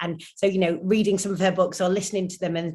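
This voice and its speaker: This woman talks at a very fast pace in a northern English accent. Her medium-pitched voice stays monotone and flat. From Northern England. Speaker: actor and presenter. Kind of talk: interview answer.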